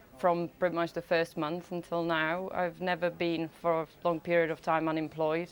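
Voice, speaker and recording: Flat and monotone, a woman with a Czech accent speaks at a fairly low pitch. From Czech Republic. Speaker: interviewee, immigrant. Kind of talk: news interview. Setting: remote link from Cardiff.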